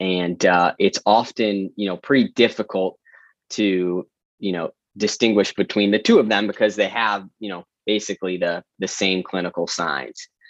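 A moderate pace and fairly even intonation in an American accent, with a dry, close sound without echo and a quiet background. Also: man, fairly low pitch for a man. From US Midwest, Metro Detroit. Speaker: veterinarian. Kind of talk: interview. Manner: many fillers and repeated words.

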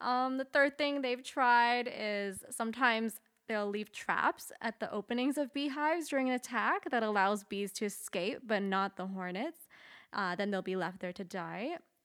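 Using a normal speaking voice, a woman with a fairly high pitch talks at a moderate pace with lively intonation in a very clean recording with a silent background. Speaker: guest on podcast. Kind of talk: casual chat. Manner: nervous, laughs often.

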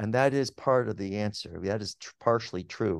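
A man with a General American accent and a medium pitch speaks at a moderate pace in a normal speaking voice, the sound dry and close with no echo over a quiet background. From Pittsburgh, then Los Angeles from age eight. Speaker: psychology professor. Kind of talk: interview.

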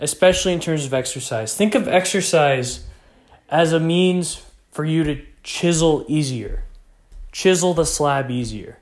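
In audible room echo, a man with a fairly high pitch speaks at a fairly slow pace with ordinary pitch variation. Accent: American. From Texas. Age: young. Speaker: podcast host. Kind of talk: solo motivational podcast talk.

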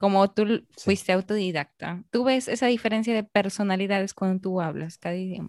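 Here is an unremarkable speaking voice: a woman at medium pitch talks at a fairly quick pace with hardly any pauses and fairly even intonation. The sound is dry and close with no echo, over a quiet background. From Peru, Arequipa. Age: 20s. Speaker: podcast host. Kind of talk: interview.

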